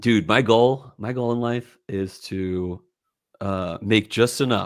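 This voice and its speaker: On a very clean recording with a silent background, a man speaks very slowly at a medium pitch with ordinary pitch variation. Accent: slight Philadelphia. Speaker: whiskey podcast host. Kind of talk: casual chat.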